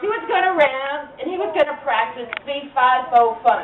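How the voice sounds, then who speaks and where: A high-pitched woman's voice at a fairly slow pace, with audible room echo and noticeable background noise. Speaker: storyteller. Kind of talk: live storytelling to children. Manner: animated.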